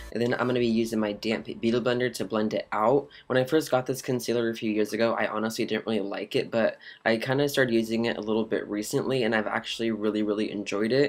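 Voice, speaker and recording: A man talks at a very fast pace in an upbeat tone with ordinary pitch variation, music playing in the background. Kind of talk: makeup tutorial voice-over. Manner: upbeat, casual.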